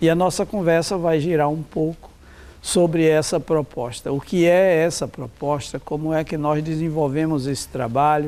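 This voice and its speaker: At a moderate pace, a man speaks with a dark, mellow tone, a fairly high pitch, and fairly even intonation. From Brazil, Pernambuco (Zona da Mata Norte). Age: 70s. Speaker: rural educator and social movement activist. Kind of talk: interview monologue.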